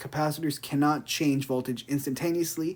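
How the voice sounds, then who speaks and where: Fairly high in pitch, a man talks with fairly even intonation. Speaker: engineering student. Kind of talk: tutorial. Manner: fast; casual, hesitant with fillers.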